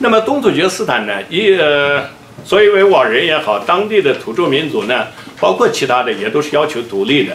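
In a room with audible echo and light background noise, a man talks at a fairly quick pace with a fairly high pitch and very wide pitch swings. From Xinjiang (Uyghur). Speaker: Uyghur activist speaker. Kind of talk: conference speech. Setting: conference stage with audience. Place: office.

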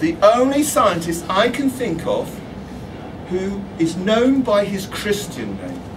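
Against noticeable background noise, a man with a high pitch speaks at a very slow pace with lively intonation. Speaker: astronomy author. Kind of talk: public talk. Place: shop. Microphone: camera far.

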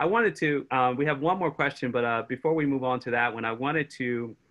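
A man with an American accent at a moderate pace, ordinary pitch variation and a quiet background. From Chicago, US Midwest. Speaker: history professor. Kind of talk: conversational interview. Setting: video call. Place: home room. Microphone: video call.

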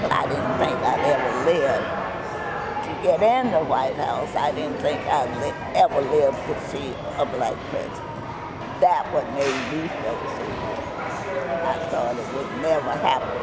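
Over loud background noise, a woman with an American accent talks at a fairly slow pace. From United States. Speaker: birthday honoree. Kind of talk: interview answer. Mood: warm, joyful, emotional. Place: hall. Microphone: handheld.

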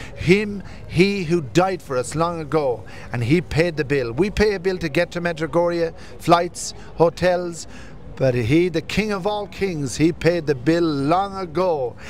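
A man speaks at a high pitch and a fairly slow pace. Light background noise sits under a dry sound with no echo. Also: ordinary pitch variation. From Irish Traveller community, family from County Wexford. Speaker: pilgrim. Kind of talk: testimony. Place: street. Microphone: handheld.

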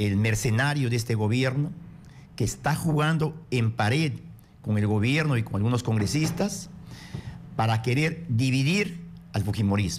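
Speaking at a fairly slow pace, a man with a medium-pitched, somewhat breathy voice uses lively intonation against light background noise. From Peru, Amazonas. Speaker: congressman. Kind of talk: political radio interview. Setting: radio studio. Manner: forceful. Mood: firm, combative political argument. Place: studio. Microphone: studio mic.

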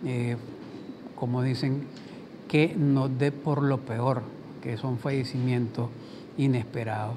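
Fairly slow, monotone male speech with flat intonation over noticeable background noise. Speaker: TV program host. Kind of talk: broadcast commentary. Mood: solemn, sympathetic. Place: studio. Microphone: lapel.

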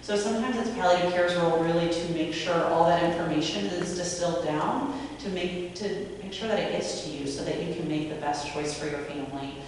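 Over light background noise, a woman with a fairly low voice talks at a very fast pace in strong room echo, her pitch varying in an ordinary way. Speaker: panelist. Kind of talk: panel conversation. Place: hall.

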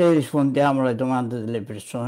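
A man speaks with a dark, mellow tone. The background is quiet. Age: 80s+. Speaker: online commentator on psychology and medicine; online commentator on psychology. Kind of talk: monologue commentary. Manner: frequent filler sounds (mm, hm). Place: home room. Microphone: webcam.

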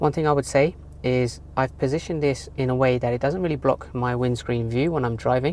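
A woman speaks fairly quickly in a very deep, low voice with ordinary pitch variation. The sound is dry with no echo, and there is light background noise. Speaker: gadget reviewer. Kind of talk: product review tutorial. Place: car. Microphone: phone near.

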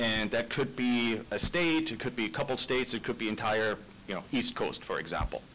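A man speaks at a moderate pace with ordinary pitch variation. There is light background noise. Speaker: site selection consultant; panelist. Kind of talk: committee testimony. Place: hall.

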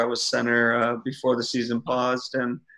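A bright, sharp tone carried on fairly even intonation. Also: man, quiet background. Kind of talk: interview answer. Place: home room. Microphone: video call.

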